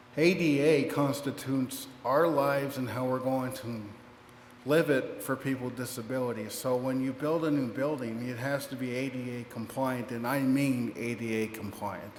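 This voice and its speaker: Someone with an American accent speaks at a moderate pace with fairly even intonation. Room echo is audible. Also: man, medium pitch for a man. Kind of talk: public speech. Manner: halting.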